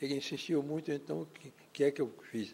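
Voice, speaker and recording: A man speaks fairly quickly in a dark, mellow tone. His pitch shows ordinary variation. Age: 90s. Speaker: former mayor. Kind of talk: testimony.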